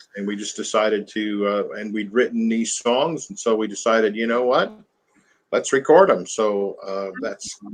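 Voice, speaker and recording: Here a man speaks with a Southern US accent at a medium pitch. His pitch variation is ordinary. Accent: American Southern. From US South (Mississippi, Alabama, Nashville). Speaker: country musician. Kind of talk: interview. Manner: halting, many fillers.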